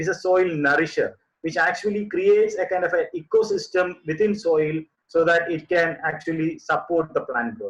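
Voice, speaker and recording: Speaking with a Keralan accent, a man keeps a moderate pace. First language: Malayalam. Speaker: composting expert. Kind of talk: webinar presentation. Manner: halting, many fillers.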